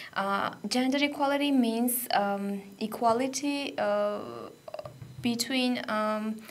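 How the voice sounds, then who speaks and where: In a Georgian accent, a woman speaks at a very slow pace with ordinary pitch variation, her voice carrying audible room echo. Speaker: radio volunteer. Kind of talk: radio interview. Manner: halting, many fillers.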